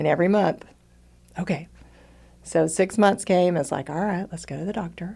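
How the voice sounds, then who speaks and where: Using an American accent, a woman with a dark, mellow tone speaks at a moderate pace, with fairly even intonation and long, frequent pauses. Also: fairly low pitch for a woman. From Texas. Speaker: retired teacher turned entrepreneur. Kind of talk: casual interview testimony.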